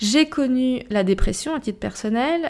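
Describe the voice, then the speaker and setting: Very clean audio of a female speaker, the background completely silent. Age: 40s. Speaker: podcast host and life coach. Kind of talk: solo podcast monologue. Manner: animated.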